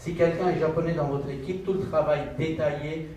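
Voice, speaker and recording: With audible room echo and noticeable background noise around him, a man's fairly high-pitched voice comes through. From Pakistan. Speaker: business manager, panelist. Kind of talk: panel discussion.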